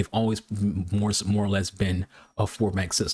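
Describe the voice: In an American accent, a man speaks at a moderate pace, his pitch fairly low and his tone slightly mellow.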